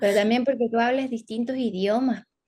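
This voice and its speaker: A woman with a Chilean accent speaks in a fairly high voice. Her tone is dark and mellow. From northern Chile, Antofagasta. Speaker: psychologist. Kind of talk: interview.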